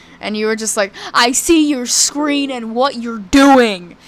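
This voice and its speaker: Noticeable background noise sits behind a woman speaking at a fairly high pitch with ordinary pitch variation. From Kentucky. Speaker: vlogger. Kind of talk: casual chat. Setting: live stream.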